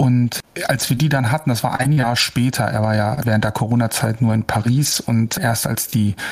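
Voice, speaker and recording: The speaker keeps a moderate pace. Noticeable background noise can be heard. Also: man. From northern Germany, Hamburg. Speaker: opera tenor. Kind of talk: interview. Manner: hesitant, many fillers.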